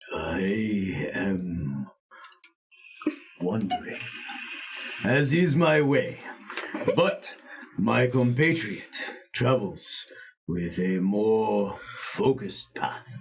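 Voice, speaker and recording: A put-on character voice moves at a very slow pace with long, frequent pauses and very wide pitch swings. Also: man, medium pitch for a man. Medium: actual play. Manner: calm, measured, philosophical.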